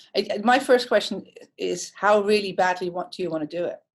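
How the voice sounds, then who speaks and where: A woman speaks with a Dutch accent and ordinary pitch variation. The recording is very clean, with a silent background. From Netherlands. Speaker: hairdresser and creative director. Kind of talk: interview. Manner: direct.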